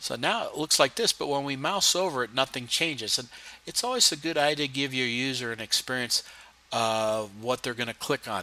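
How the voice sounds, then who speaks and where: A man talks at a medium pitch with ordinary pitch variation. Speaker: instructor. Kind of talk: tutorial. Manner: fast.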